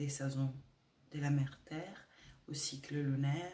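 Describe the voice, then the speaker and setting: A woman with a very deep, low pitch speaks in a dark, mellow, somewhat breathy tone with monotone, flat intonation. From Italy. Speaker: spiritual women's coach. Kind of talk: spiritual talk to camera. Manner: hesitant, many filler sounds.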